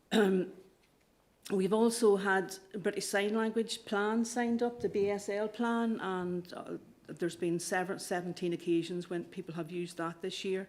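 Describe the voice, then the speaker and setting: In a slight Irish accent, a woman speaks at a medium pitch with fairly even intonation. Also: moderate pace. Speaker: council officer. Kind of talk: committee report presentation. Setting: council committee meeting. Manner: halting, with fillers and repetitions.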